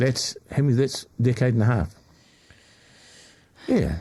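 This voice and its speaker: The speaker has a dark, mellow tone with vocal fry and talks at a fairly slow pace. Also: man. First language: not English. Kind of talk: casual chat.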